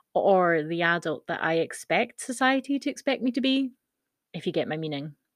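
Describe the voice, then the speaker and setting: In a normal speaking voice, a woman talks at a moderate pace and medium pitch over a quiet background. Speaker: blogger and podcaster. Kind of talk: reading a blog post aloud. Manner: casual, chatty, laughing.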